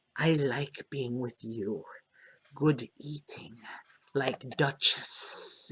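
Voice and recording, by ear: In a raspy, put-on character voice at medium pitch, a man talks very slowly with long, frequent pauses.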